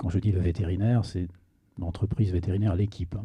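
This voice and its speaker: A man with a very deep, low pitch speaks in fairly even intonation, somewhat breathy, with a dark, mellow tone. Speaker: conference speaker, veterinarian and sales director. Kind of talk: conference talk. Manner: hesitant, many fillers.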